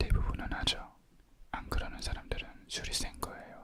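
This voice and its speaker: The speech is a whisper at a moderate pace. Background noise can be clearly heard. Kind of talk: ASMR book reading. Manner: whispered.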